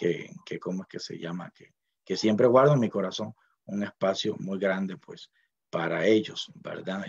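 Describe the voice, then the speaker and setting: Here a man talks at a moderate pace in a fairly low voice with ordinary pitch variation. The sound is dry and close, with no echo. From Costa Rica, Puntarenas (Miramar). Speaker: university linguist, dictionary author. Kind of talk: speech at book launch. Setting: online event from home library. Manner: hesitant, many fillers.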